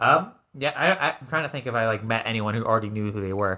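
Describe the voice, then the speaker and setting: In a very clean recording with a silent background, a man speaks fairly quickly at a medium pitch with a bright, sharp tone. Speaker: guitarist and composer. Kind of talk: casual chat.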